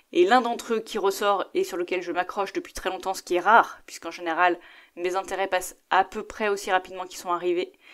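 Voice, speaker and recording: Speaking at a fairly quick pace and medium pitch, a woman holds a monotone, flat intonation while her loudness swings widely. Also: very clean recording, silent background. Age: 30s. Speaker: podcast host. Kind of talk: solo podcast monologue.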